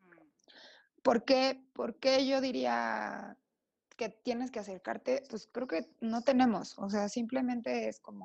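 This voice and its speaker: Very slowly, a woman speaks with big swings in loudness. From Mexico, Oaxaca. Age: 30s. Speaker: designer and accessories entrepreneur. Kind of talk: casual interview chat.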